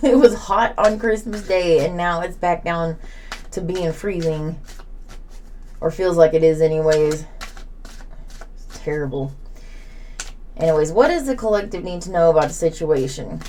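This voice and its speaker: With an Oklahoma accent, a woman speaks at a fairly low pitch, taking long, frequent pauses, and audible room echo can be heard. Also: ordinary pitch variation, moderate pace, big swings in loudness. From southern Oklahoma. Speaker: tarot reader. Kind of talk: tarot reading.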